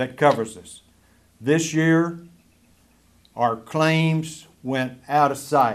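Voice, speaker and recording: At a very slow pace, a man speaks at a fairly high pitch with fairly even intonation. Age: 70s. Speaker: county commissioner. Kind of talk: public address to local audience. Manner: informal, conversational.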